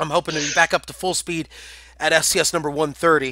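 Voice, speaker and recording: Talking at a very fast pace, a man has a bright, sharp tone and a fairly high pitch. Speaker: game streamer and match caster. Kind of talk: live commentary. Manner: pausing to catch breath.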